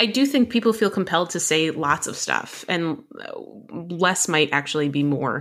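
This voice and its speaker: A woman speaks in a plain, everyday voice with an American accent, fairly low in pitch, with lively intonation at a moderate pace, on a very clean recording with a silent background. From New Jersey, US. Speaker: emergency physician and medical educator. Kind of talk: podcast discussion.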